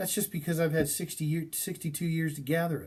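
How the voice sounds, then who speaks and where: A man's somewhat breathy voice on a very clean recording with a silent background. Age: 60s. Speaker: college instructor. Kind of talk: lecture. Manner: halting.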